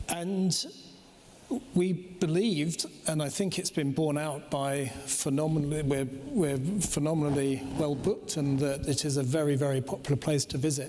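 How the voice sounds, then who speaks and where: Noticeable background noise sits behind a man speaking at a moderate pace with a fairly high pitch. His intonation is fairly even and his loudness very even. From Britain and Denmark. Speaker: cruise company executive. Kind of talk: panel discussion.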